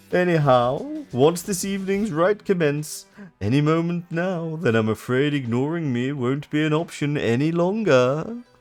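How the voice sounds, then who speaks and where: A man puts on a theatrical, pompous character voice at a fairly high pitch. He goes at a moderate pace with hardly any pauses. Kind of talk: camp villain voice. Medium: game stream.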